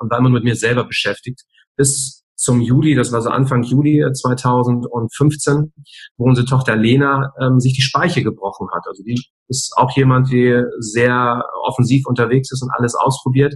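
Somewhat breathy, a man speaks at a medium pitch and a moderate pace. His intonation is monotone and flat. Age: 40s. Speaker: speaker and coach. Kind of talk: interview. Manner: hesitant fillers.

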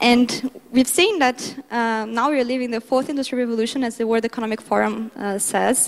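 A woman speaks with a Portuguese accent. Her pitch is high. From Brazil. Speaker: international development speaker. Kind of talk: conference talk.

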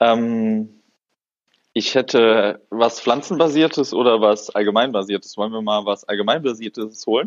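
An unremarkable speaking voice from a man at medium pitch, moderate pace and fairly even intonation. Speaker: podcast co-host, hobby botanist. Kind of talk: casual chat.

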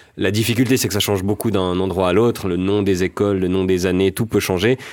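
A man with a normal speaking voice, fairly low in pitch, with fairly even intonation, very even loudness and a fairly quick pace, on a very clean recording with a silent background. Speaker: comedian. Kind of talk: satirical panel discussion.

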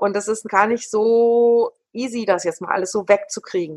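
Here is a woman with a normal speaking voice. Her pitch is fairly high and her pace fairly slow. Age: 50s. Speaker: dance teacher and association chair. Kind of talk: interview.

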